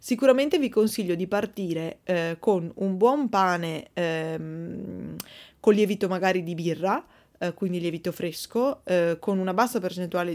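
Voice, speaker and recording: On a very clean recording with a silent background, a woman speaks at a medium pitch and moderate pace, with ordinary pitch variation. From Verona, northern Italy. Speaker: podcast host, bread baker. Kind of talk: casual Q&A monologue. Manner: hesitant, many fillers.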